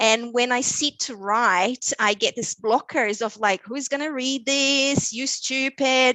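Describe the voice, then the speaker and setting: At a fairly slow pace, a woman with a high pitch speaks in a Brazilian Portuguese accent. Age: 30s. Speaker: podcast guest. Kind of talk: casual interview chat.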